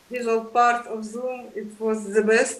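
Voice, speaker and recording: A woman with a Polish accent and a fairly high pitch, amid audible room echo. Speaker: lecture series moderator. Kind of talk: online lecture discussion. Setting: video call. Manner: halting, many fillers.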